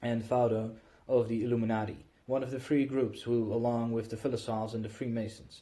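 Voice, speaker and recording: A man speaks at a fairly quick pace. His voice is somewhat breathy with a dark, mellow tone. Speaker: audiobook reader. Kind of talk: reading aloud.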